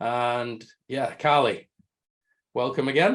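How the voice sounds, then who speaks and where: Against a quiet background, a man talks in a northern English accent. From northern England. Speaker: marketing agency head, webinar host. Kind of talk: webinar presentation. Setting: video call.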